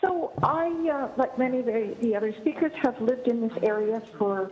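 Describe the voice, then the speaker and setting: Music runs in the background as a woman talks. Her intonation is lively and her pace moderate. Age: 60s. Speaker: family physician giving public deputation. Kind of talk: public meeting deputation. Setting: video conference. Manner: halting, many fillers.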